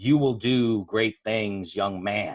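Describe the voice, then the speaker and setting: A booming, put-on character voice from a man, fairly low in pitch, with fairly even intonation. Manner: commanding.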